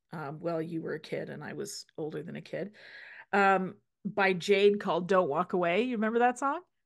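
A woman's fairly quick, medium-pitched voice with vocal fry, ordinary pitch variation and big swings in loudness, over a quiet background. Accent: Canadian. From Saskatchewan, Canada. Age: 50s. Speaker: podcast host, healthcare practitioner. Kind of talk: casual chat.

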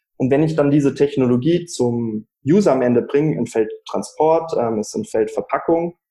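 Using a plain, everyday voice, a man speaks at a fairly high pitch and moderate pace with lively intonation. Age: 20s. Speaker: startup founder. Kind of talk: interview.

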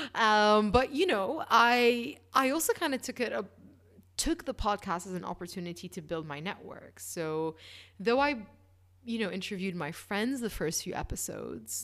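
Lively intonation and vocal fry come through at a moderate pace on a very clean recording with a silent background. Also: woman. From Bahrain. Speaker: fintech accelerator manager. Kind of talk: interview.

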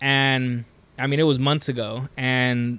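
Medium-pitched man with monotone, flat intonation. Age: 30s. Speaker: podcast host. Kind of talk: casual chat.

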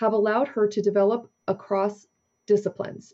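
A woman's fairly high-pitched delivery at a moderate pace, in an ordinary speaking voice. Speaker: podcast host. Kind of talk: interview.

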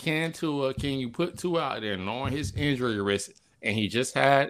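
A man speaks in a normal speaking voice at a moderate pace. His pitch variation is ordinary, on a very clean recording with a silent background. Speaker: podcast co-host. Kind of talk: casual chat.

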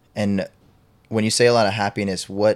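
A normal speaking voice at a fairly quick pace, fairly even intonation, a very clean recording with a silent background. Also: man. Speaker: podcast host. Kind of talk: casual interview chat.

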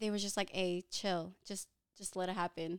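The woman is heard on a very clean recording with a silent background. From Philippines, moved to US at eight. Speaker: Airbnb entrepreneur. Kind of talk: podcast interview. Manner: animated.

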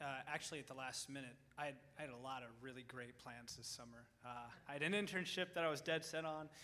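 A man with a fairly high pitch and a bright, sharp tone speaks at a very fast pace, with ordinary pitch variation. Audible room echo surrounds his voice. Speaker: college student. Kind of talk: testimony. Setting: church.

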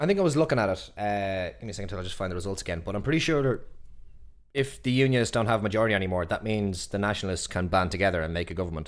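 Very fast and fairly low in pitch, a man speaks with an Irish accent on a very clean recording with a silent background. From Ireland. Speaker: podcast co-host. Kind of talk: casual chat.

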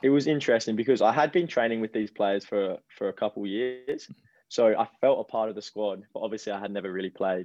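A man with an Australian accent, a medium pitch and a very fast pace, in a dry, close sound with no echo. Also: ordinary pitch variation. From Adelaide, South Australia. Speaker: professional footballer. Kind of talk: interview.

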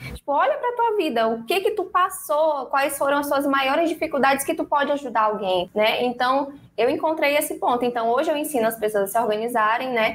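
A woman talks fairly quickly in a high voice with lively intonation, her loudness very even and hardly any pauses. Noticeable background noise sits behind her. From São Luís, Maranhão, Brazil. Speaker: financial educator. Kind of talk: interview. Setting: live stream / video call.

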